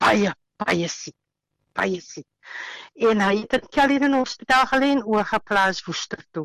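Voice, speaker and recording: This woman has a medium pitch. Her intonation is lively. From Western Cape, South Africa. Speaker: housewife sharing healing testimony. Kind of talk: interview testimony. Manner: halting.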